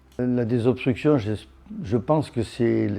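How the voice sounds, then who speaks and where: With ordinary pitch variation, this man talks in a dark, mellow tone. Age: 70s. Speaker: veteran caver. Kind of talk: documentary interview.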